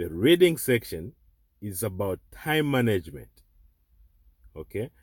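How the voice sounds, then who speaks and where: A man speaks at a fairly slow pace with a non-native accent, on a very clean recording with a silent background. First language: not English. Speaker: online tutor. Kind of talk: tutorial. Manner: repetitive, halting.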